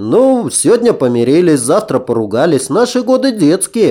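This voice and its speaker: A man puts on a character voice pitched high. He talks at a moderate pace with very wide pitch swings. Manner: mimicking, teasing.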